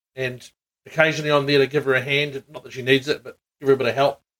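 A man with a New Zealand accent talks at a very fast pace. His pitch is medium. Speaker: podcast host. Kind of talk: casual chat. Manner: hesitant, many fillers.

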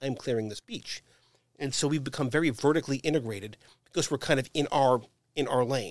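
Fairly quick speech from a man at medium pitch, ordinary pitch variation, very clean recording with a silent background. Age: 60s. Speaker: company executive. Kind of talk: casual interview. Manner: halting, repeats words.

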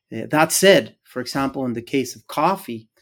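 Talking at a fairly slow pace, a man with a Spanish accent uses a fairly high pitch and ordinary pitch variation. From Guatemala. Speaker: agricultural engineering professor. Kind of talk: interview. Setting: video call.

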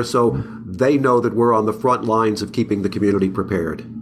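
A man's voice over noticeable background noise. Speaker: podcast host. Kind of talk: interview podcast. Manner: enthusiastic.

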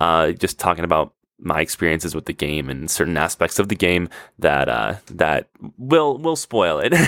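A man's excited, very deep and low voice with vocal fry and lively intonation, at a moderate pace, dry and close with no echo. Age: 20s. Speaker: podcast host. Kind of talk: casual solo monologue. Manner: excited, with frequent laughter; halting, with repeated words and fillers.

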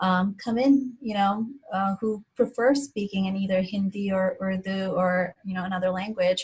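A woman with a plain, everyday voice speaks at medium pitch and a moderate pace with fairly even intonation. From India, moved to Philadelphia at 11. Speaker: physician. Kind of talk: interview.

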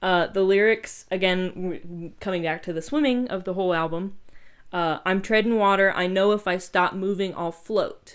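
This woman has a plain, everyday voice, speaking at a moderate pace with medium pitch and fairly even intonation. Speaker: podcast host. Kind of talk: casual chat.

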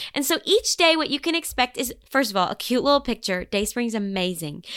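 A woman with a Southern US accent speaks fairly quickly in a warm, enthusiastic tone. Her pitch moves in very wide swings. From Arkansas, US. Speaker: author and singer-songwriter. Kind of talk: casual interview chat. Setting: video call.

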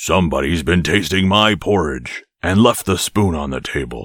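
Growling in a put-on character voice at a moderate pace, the speaker comes through in a very clean recording with a silent background. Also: man, very deep, low pitch for a man.

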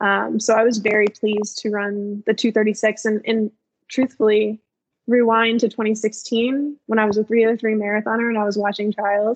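The recording is dry and close with no echo. A woman with an American accent speaks at a moderate pace in a fairly high, monotone, flat voice. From Maryland, US. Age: 30s. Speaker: running coach and elite marathoner. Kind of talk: casual interview.

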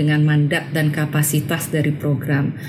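A woman with a very deep, low voice speaks at a moderate pace over background music, with audible room echo. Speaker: education program specialist. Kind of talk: interview. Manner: halting.

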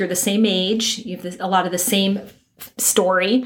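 The speaker is a woman. Her intonation is fairly even and her pace is moderate. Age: 50s. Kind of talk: casual chat.

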